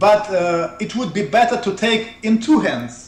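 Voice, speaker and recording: A man speaks with a Russian accent at a very slow pace. His voice is high, his intonation lively. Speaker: researcher of ancient technology. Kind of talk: interview. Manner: halting.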